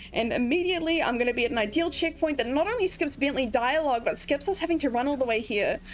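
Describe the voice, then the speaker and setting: Over noticeable background noise, a woman talks at a very fast pace in a high pitch with lively intonation. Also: hardly any pauses, very even loudness. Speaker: speedrunner. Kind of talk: live gameplay commentary. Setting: livestream. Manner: animated.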